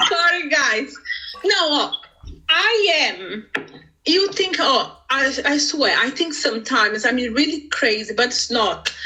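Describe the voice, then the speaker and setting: A woman's raised, projected voice at a high pitch, with very wide pitch swings, very even loudness and a very slow pace, over noticeable background noise. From Brazil, Sao Paulo. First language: Portuguese. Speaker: business owner. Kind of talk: interview. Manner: animated.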